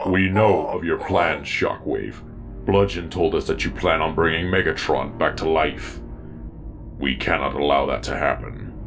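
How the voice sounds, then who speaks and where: A man puts on a character voice with a very deep, low pitch at a moderate pace, with clear background noise behind him. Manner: firm, determined.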